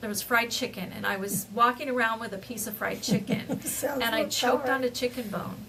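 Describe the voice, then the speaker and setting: Against noticeable background noise, a woman talks with fairly even intonation and hardly any pauses. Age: 60s. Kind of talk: casual podcast conversation. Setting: home recording, lower sound quality.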